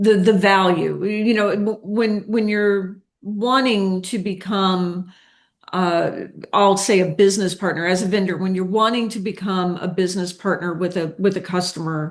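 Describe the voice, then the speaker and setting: At a moderate pace, a woman with an American accent talks at a medium pitch with fairly even intonation. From United States. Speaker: podcast host. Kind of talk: interview. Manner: halting, repeats words.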